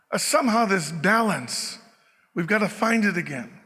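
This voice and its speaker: Speaking in a raised, projected voice with a bright, sharp tone, a man with a Canadian accent talks at a fairly slow pace with ordinary pitch variation. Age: 60s. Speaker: former lieutenant governor, keynote speaker. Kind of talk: keynote speech.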